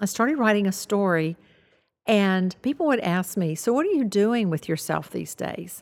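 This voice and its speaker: On a very clean recording with a silent background, a woman with an American accent uses an unremarkable speaking voice at medium pitch, lively intonation and a moderate pace. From US South. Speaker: author, former nurse. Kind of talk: interview. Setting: studio.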